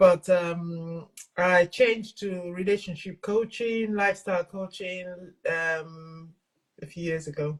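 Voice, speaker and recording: At a very slow pace, a woman with a fairly low pitch and a somewhat breathy voice speaks with fairly even intonation but big swings in loudness. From England and Nigeria. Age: 60s. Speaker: self-love and mental fitness coach. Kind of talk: interview conversation.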